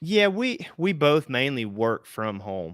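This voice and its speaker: In a very clean recording with a silent background, a man's bright, sharp voice sounds dry and close, with no echo. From Southwest Virginia and East Tennessee. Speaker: homesteader and insurance agency owner. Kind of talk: casual livestream interview. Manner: casual, many fillers and restarts.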